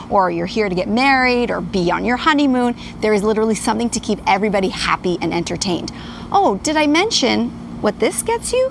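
A woman talks at a fairly quick pace, her voice dry with no echo over light background noise. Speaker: TV travel reporter. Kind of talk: live TV report.

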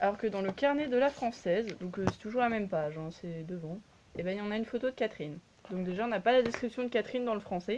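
Amid light background noise, a woman speaks at a very fast pace with lively intonation. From France. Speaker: YouTuber reviewing collectible dolls; doll collector reviewer. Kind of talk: casual product review. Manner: hesitant, many fillers. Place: home room. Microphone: phone near.

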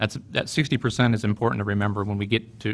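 A man with an unremarkable speaking voice talks at a fairly quick pace with a fairly low pitch. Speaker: city attorney. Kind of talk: staff presentation. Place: meeting room.

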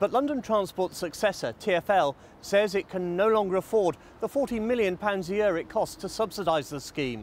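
A British accent at a moderate pace, in a dry sound with no echo. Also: man. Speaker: political correspondent. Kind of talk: news report. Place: station. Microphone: lapel.

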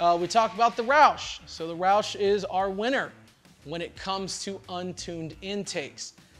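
Faint music plays in the background as a man with a high pitch speaks at a very slow pace. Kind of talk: product review commentary. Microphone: lapel.

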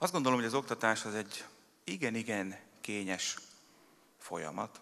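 The pitch of the man's voice varies in an ordinary way. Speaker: mayor giving a speech. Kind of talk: formal public speech. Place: hall. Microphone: podium.

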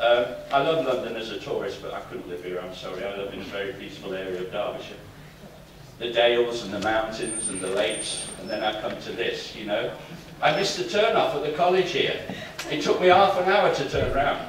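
Speaking at a fairly quick pace, a man's loudness swings widely. Audible room echo and light background noise surround him. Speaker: conference speaker. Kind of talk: speech with anecdotes. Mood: humorous, laughing often. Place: hall.

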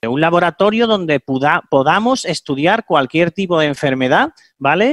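Here is a plain, everyday voice at a fairly slow pace. The sound is dry with no echo, over a quiet background. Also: man. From Andalusia, Spain. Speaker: veterinarian. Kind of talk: interview answer. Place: home room. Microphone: headset.

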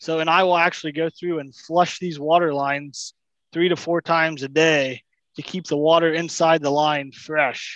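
A man speaks at a moderate pace in a fairly high voice, with a fairly bright tone and fairly even intonation.

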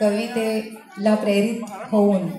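A woman speaks at a fairly high pitch over background music, with audible echo in the room. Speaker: poet. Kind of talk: introduction to audience. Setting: stage event. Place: hall. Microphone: pa.

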